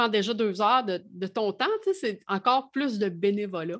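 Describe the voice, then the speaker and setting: Fairly high-pitched woman with a Quebec accent, quiet background. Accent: Québécois French. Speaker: music journalist. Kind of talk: casual chat.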